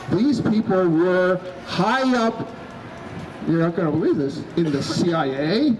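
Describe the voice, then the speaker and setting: A man with a high pitch talks at a fairly slow pace in an animated tone, with long, frequent pauses and very even loudness. Noticeable background noise can be heard. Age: 60s. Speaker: activist. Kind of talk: rally speech. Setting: outdoors. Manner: halting.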